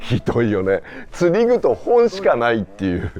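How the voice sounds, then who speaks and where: A man's words come at a moderate pace while music plays behind him. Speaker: TV director. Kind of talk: interviewer in casual conversation.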